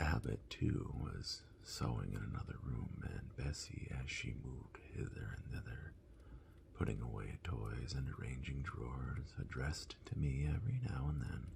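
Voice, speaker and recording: The voice is a whisper with a calm, gentle tone. It moves at a fairly slow pace. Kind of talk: soft-spoken ASMR book reading. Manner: soft-spoken, calm, gentle.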